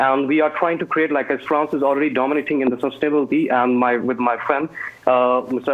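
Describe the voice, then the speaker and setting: Intonation stays monotone and flat. The man talks at a fairly quick pace. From India. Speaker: alumnus and startup founder. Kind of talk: online Q&A. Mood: warm, grateful. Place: home room. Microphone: earbuds.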